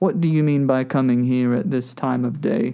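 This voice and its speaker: A put-on character voice from a man, medium in pitch, at a moderate pace. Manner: gruff, growling.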